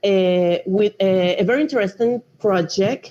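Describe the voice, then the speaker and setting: A woman with a Panamanian accent at a fairly slow pace. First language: Spanish. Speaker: drone project manager, marine engineer. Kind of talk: online lecture.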